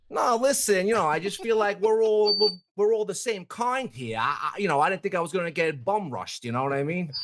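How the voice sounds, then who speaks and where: A man talks in a strong New York accent. His pitch is high and his intonation lively. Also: fairly quick pace, hardly any pauses. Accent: thick New York. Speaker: viral interview subject. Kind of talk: casual chat. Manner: animated.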